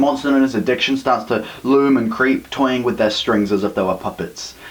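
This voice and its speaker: The voice runs at a very fast pace with fairly even intonation. Noticeable background noise sits underneath. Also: man. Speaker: slam poet. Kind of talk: slam poetry performance.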